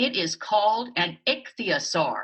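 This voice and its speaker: A fairly high-pitched put-on character voice at a fairly slow pace. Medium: read story.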